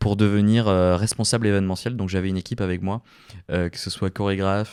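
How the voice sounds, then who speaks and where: Over a silent background on a very clean recording, a man with a fairly low pitch and a dark, mellow tone speaks at a fairly quick pace. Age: 20s. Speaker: podcast host and radio presenter. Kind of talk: casual solo podcast monologue. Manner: hesitant, many filler words.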